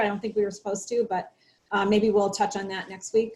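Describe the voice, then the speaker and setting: Somewhat breathy female speech at a medium pitch. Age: 60s. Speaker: health show host. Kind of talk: casual chat.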